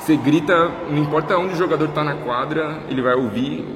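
The recording has audible room echo and noticeable background noise. A man speaks with ordinary pitch variation. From Brazil, Minas Gerais. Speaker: podcast host. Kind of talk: podcast interview.

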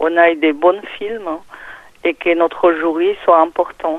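A very slow pace and fairly even intonation. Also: woman. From Peru. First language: Spanish (speaking French). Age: 50s. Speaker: film festival organizer. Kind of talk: interview. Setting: phone call. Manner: halting, many hesitations.

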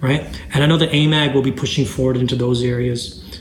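Audible room echo surrounds a man talking at medium pitch and a fairly quick pace. His intonation is fairly even. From Zambia. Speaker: music business podcast host. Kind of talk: casual business talk.

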